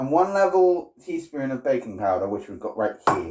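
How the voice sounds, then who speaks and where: Speaking at a moderate pace, a man with a fairly high pitch talks in a British accent. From Britain. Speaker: livestreamer. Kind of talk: casual livestream cooking chat.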